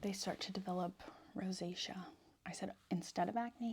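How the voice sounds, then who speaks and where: A soft-spoken woman, somewhat breathy, at medium pitch and a moderate pace. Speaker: ASMR creator. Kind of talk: ASMR soft-spoken chat.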